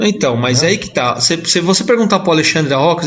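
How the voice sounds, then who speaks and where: Against noticeable background noise, a man talks with very wide pitch swings. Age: 40s. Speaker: mechanics instructor. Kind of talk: casual chat.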